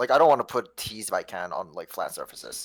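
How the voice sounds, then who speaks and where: A man speaks at a very fast pace. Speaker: Tetris coach. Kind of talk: coaching session. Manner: halting, many fillers.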